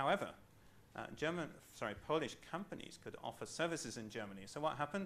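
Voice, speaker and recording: Audible room echo surrounds a man speaking fairly quickly in a British accent. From Britain. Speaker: management consultant. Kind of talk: lecture. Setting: training program session. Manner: halting, many fillers.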